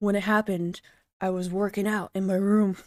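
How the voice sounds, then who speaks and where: Using a put-on character voice, a woman with a medium pitch talks at a fairly quick pace in a monotone, flat way on a very clean recording with a silent background. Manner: regretful, apologetic, dramatic.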